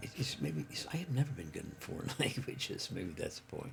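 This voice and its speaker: A man's pitch swings very widely as he keeps a moderate pace amid noticeable background noise. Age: 80s+. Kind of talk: casual monologue. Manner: halting, many fillers.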